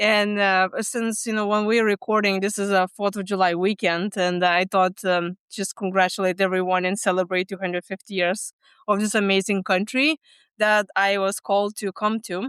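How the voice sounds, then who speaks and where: With a Lithuanian accent, a woman speaks at a medium pitch with fairly even intonation. The recording is very clean and dry, with close sound, no echo and a silent background. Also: moderate pace. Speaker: stress management coach. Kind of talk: podcast interview. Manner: halting, with many fillers.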